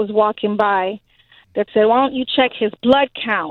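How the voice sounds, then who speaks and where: A woman speaks in an American accent with an ordinary speaking voice. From Haitian American. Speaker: mother of a child with leukemia. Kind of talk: phone interview. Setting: phone call.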